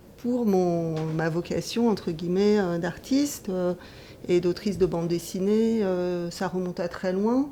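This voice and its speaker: Speaking at a very slow pace, a woman keeps her intonation fairly even. Her voice sits at a medium pitch with a dark, mellow tone. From Taiwan, Dutch family. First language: Taiwanese (speaking French). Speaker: comics author and teacher. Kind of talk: interview. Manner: hesitant, many filler sounds.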